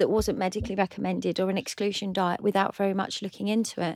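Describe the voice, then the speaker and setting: A woman's voice is captured in a very clean recording with a silent background, sounding dry and close with no echo. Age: 50s. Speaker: cookery competition winner. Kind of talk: casual chat. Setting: studio.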